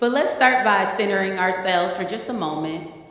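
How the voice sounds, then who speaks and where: Lively intonation marks a woman's voice, heard with audible room echo and noticeable background noise. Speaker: licensed professional counselor. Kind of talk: presentation with guided breathing exercise. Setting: meeting room with audience, using a microphone. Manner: loud.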